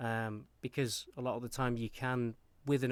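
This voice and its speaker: A man speaks with monotone, flat intonation on a very clean recording with a silent background. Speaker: actor, audiobook narrator, voice actor. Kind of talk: interview answer. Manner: casual, hesitant.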